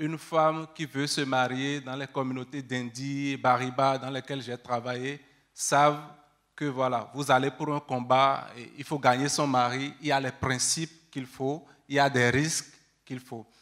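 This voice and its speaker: At a fairly slow pace, a man speaks with a medium pitch and monotone, flat intonation. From Benin. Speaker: researcher. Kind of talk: panel discussion.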